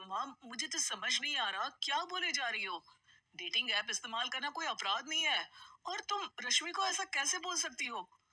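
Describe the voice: A woman's cartoonish character voice, high-pitched with a bright, sharp tone, lively intonation and a moderate pace.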